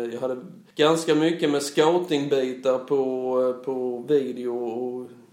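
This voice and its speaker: Audible room echo surrounds the recording. A man speaks at a medium pitch. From Blekinge, southern Sweden. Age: 40s. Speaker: football coach and school principal. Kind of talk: interview. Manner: halting.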